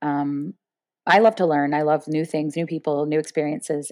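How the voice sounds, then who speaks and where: Her pitch very deep and low, a woman speaks with an American accent. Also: very clean recording, silent background. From Florida, US. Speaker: professional poker player. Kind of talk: interview. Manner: fast; loud.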